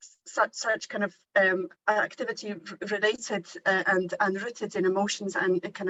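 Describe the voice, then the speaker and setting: With a Polish accent, a woman speaks at a moderate pace and medium pitch, using ordinary pitch variation. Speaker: university teacher. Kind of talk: workshop discussion. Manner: halting, many repetitions.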